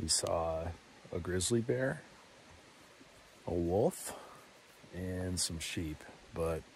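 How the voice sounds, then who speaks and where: Over light background noise, a man with a very deep, low voice speaks at a very slow pace, somewhat breathy, the sound dry with no echo. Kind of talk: casual vlog chat. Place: open country. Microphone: phone near.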